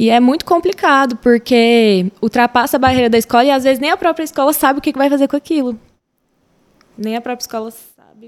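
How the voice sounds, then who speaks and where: Recorded dry and close with no echo, a high-pitched woman talks at a fairly quick pace with ordinary pitch variation and big swings in loudness. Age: 20s. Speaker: schoolteacher. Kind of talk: casual chat.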